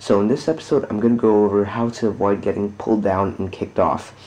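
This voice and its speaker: At a fairly quick pace, a man talks quietly in a fairly low pitch. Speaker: gamer. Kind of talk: gameplay tutorial commentary. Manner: quiet, monotone.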